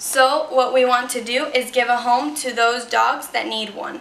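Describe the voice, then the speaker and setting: With a Spanish accent, a woman speaks high and fairly slowly amid noticeable background noise and audible room echo. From Ecuador. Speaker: student. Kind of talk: persuasive speech.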